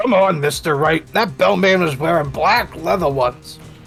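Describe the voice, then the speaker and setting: Someone performs a put-on character voice at a middle pitch and a moderate pace. Clear music plays in the background. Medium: fan dub.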